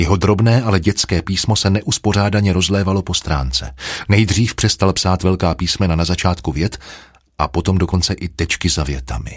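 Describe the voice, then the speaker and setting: Speaking at a moderate pace, a man with a very deep, low pitch shows vocal fry and ordinary pitch variation. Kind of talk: audiobook reading, literary narration. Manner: measured, even storyteller pacing, dark and brooding mood.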